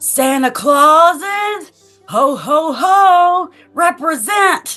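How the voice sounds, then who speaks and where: A put-on character voice shouts, loud and booming, at a very slow pace. Faint music plays in the background. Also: woman. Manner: loud shout.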